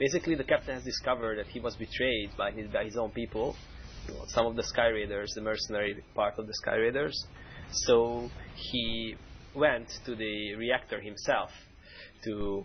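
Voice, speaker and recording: A man speaks with a Hungarian accent. His pace is moderate. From Hungary, Budapest. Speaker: game mission designer. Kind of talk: game stream commentary. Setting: live stream.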